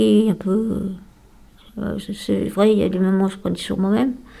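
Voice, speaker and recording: Her tone is dark and mellow. The woman speaks at a medium pitch. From France, Lyon area. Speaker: day-care psychiatric patient. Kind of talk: radio interview. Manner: halting.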